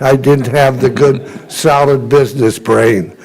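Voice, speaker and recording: A man at a medium pitch speaks at a fairly slow pace with ordinary pitch variation. Audible room echo surrounds his voice. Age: 80s+. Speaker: honoree, retired restaurant owner. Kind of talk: acceptance speech at council meeting. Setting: city council chamber. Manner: informal, rambling storytelling.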